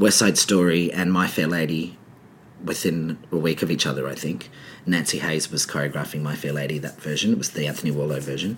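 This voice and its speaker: Very deep and low in pitch, a man with an Australian accent talks at a fairly quick pace with fairly even intonation. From Adelaide, Australia. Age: 40s. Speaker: choreographer and director. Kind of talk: casual interview chat.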